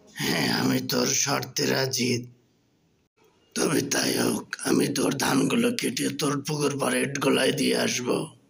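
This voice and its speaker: In a cartoonish character voice, a man speaks at a fairly slow pace. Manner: boastful, easily fooled.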